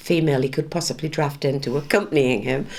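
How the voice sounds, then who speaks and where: With vocal fry in her voice, this woman keeps her intonation fairly even. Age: 60s. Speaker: town mayor, retired teacher. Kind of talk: interview. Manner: hesitant, with frequent fillers.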